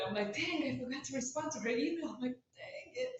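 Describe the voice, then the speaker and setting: Amid noticeable background noise and audible room echo, a woman speaks at a very fast pace with lively intonation. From Romania. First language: Romanian. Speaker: author. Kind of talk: casual chat.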